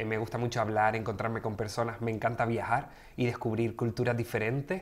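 A man at a moderate pace, monotone with flat intonation. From Canary Islands (Gran Canaria). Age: 30s. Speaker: sexologist and social worker. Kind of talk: interview conversation. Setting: studio. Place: studio. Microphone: studio mic.

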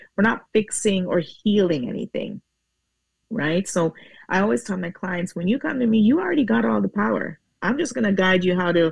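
A woman talks at a moderate pace with vocal fry and very wide pitch swings. The sound is dry with no echo and a quiet background. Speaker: guest. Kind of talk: interview answer. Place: home room. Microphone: earbuds.

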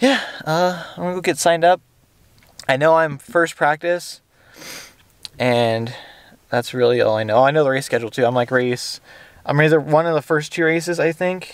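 Against a quiet background, a man with a fairly high pitch talks at a moderate pace with long, frequent pauses, the sound dry with no echo. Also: ordinary pitch variation. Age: 30s. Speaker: motocross racer and vlogger; vlogger. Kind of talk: vlog. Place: car. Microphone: phone near.

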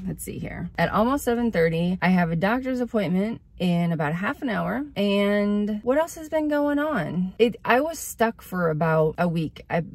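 This woman's voice is somewhat breathy, with hardly any pauses at a moderate pace. The sound is dry with no echo. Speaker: small video creator. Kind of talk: casual vlog chat. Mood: reflective, a bit anxious. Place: car. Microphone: phone near.

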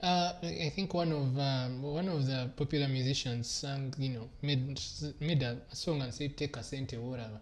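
A somewhat breathy man speaks with a fairly high pitch and ordinary pitch variation. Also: moderate pace. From Uganda. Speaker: TV host. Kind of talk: TV studio discussion. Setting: TV studio. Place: studio. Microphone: lapel.

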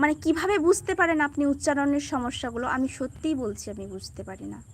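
The speaker is a woman. Her pitch is high. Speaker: poultry farmer and YouTuber. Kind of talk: live stream talk with viewers.

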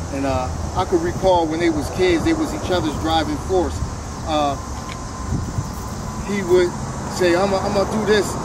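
The sound is dry with no echo as a man talks through loud background noise. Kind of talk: interview answer. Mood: proud, warm, laughing. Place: street.

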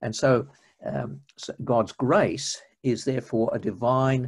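A man speaks with an Australian accent. His voice is somewhat breathy. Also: quiet background. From Australia, Melbourne. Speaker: retired minister and church history lecturer; retired minister, church history lecturer. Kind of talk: interview. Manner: halting. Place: home room. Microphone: video call.

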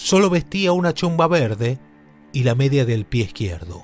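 Music plays in the background. The speech is fairly slow, with very wide pitch swings. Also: man. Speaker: podcast narrator. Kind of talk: true-crime podcast narration.

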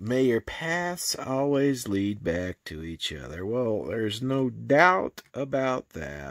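A man's voice with very wide pitch swings, dry with no echo, over a quiet background. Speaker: vlogger showing family photo book. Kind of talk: casual vlog chat. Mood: warm, nostalgic, affectionate. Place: home room. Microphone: phone near.

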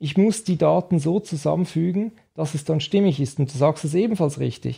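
A man speaks with a dark, mellow tone and a fairly high pitch. The background is quiet. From Switzerland. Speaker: nutrition scientist; guest. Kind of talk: interview. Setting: nutrition institute office. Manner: halting. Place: studio. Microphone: studio mic.

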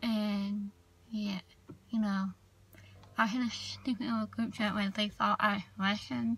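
With a Southern US accent, a woman talks fairly slowly at medium pitch, with fairly even intonation, long, frequent pauses and a dry sound with no echo. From US South. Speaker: video blogger. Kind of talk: casual vlog monologue. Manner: shy on camera, casual. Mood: annoyed, venting about haters. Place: car. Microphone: phone near.

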